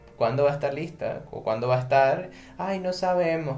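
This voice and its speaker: Over music in the background, a man talks with ordinary pitch variation, and audible room echo can be heard. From Venezuela. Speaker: podcast co-host. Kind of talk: casual chat.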